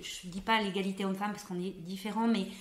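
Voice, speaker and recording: A woman is speaking. Her pitch is medium. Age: young. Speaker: doctor. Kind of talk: interview answer.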